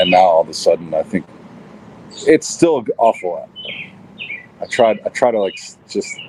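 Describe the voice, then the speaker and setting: Noticeable background noise is present. Over it, a man speaks at a moderate pace. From Kentucky (Elizabethtown). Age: 40s. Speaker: musician. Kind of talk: interview conversation. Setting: podcast interview. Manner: halting, with many repetitions.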